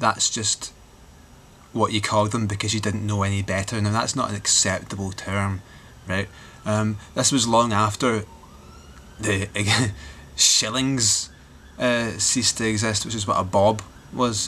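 With a Glaswegian accent, a man speaks at a fairly slow pace in a monotone, flat intonation with long, frequent pauses. Light background noise can be heard. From Glasgow, Scotland. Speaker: vlogger. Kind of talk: casual talk to camera. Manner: rambling, sardonic. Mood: wry, joking. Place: home room. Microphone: webcam.

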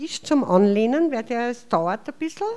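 With an Austrian accent, a woman talks at a fairly slow pace while her pitch swings very widely. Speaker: chair of hospice association. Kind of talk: welcome speech. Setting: stage with audience. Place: hall.

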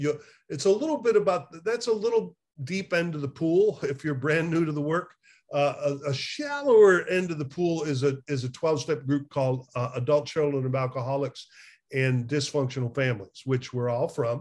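A man's somewhat breathy, fairly high voice at a moderate pace, with lively intonation. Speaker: addiction recovery therapist. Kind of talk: casual conversation. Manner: animated, laughs often. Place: home room. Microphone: webcam.

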